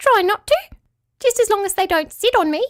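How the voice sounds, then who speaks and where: A woman puts on a character voice, squeaky and extremely high in pitch. She speaks at a fairly quick pace. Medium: read story. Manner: shy, terse.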